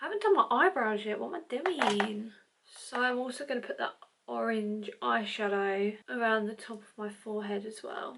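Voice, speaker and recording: Putting on a raspy character voice, a woman with a fairly high pitch talks at a moderate pace. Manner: quiet, hushed.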